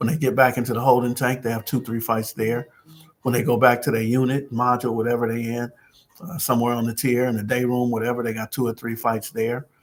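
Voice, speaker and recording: A man talks at a very fast pace in an animated tone. His pitch sits in the medium range. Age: 60s. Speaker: community peacemaker livestreamer. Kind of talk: casual livestream talk. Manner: casual, animated.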